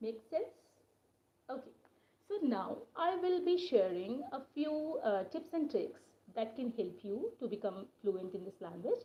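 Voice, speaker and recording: With an Indian accent, a woman speaks at a fairly slow pace, her high voice moving in very wide pitch swings. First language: Hindi. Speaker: English teacher. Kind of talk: live-stream lesson. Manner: hesitant, with fillers.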